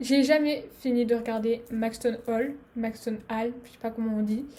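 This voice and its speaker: The woman's voice sits high in pitch with ordinary pitch variation. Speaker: vlogger. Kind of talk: casual vlog outro. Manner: fast. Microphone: laptop camera recording.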